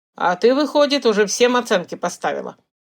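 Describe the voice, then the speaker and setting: Using a put-on character voice, a woman races along at a very fast pace, raspy and high-pitched, with lively intonation. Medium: read story. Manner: terse, gruff.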